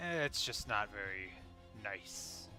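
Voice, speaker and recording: A man's put-on character voice at a medium pitch and moderate pace, over clear music in the background. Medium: actual play. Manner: casual, laid-back.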